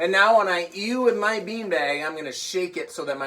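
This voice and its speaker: Over noticeable background noise, a man speaks at a fairly quick pace in an animated tone. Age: old. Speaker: children's music teacher. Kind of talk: online children's music class.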